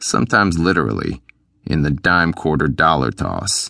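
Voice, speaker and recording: A man speaks at a moderate pace in a very deep, low voice with vocal fry and a bright, sharp tone. The sound is dry and close with no echo, over a quiet background. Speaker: audiobook narrator. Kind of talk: audiobook narration, first-person hitman. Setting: studio.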